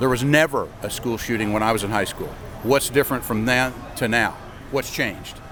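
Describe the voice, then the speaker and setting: Speech at a fairly quick pace with fairly even intonation, over noticeable background noise. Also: man, medium pitch for a man. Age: 60s. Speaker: NRA member at gun convention. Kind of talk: street interview.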